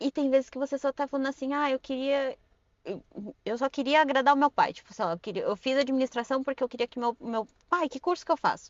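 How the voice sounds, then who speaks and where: Talking at a very fast pace, a woman with a high pitch shows ordinary pitch variation and big swings in loudness. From Brazil, Suzano (São Paulo state). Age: 30s. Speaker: podcast guest. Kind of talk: casual interview chat.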